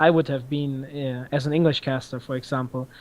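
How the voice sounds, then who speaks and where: This man speaks in a German accent at a moderate pace, his fairly high pitch held in a monotone, flat intonation. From Germany. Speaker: esports tournament organizer and caster. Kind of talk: podcast interview. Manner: halting, many fillers.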